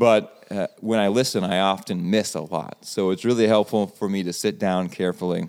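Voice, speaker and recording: A man's normal speaking voice, fairly low in pitch, at a moderate pace with fairly even intonation and hardly any pauses. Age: 40s. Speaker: pastor. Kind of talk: casual chat. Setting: studio.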